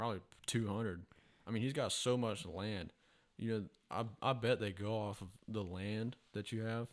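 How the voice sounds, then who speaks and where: A man with a fairly low pitch and a Southern US accent, at a moderate pace with fairly even intonation and long, frequent pauses. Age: 20s. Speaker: truck parts salesman, hunter. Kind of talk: casual chat.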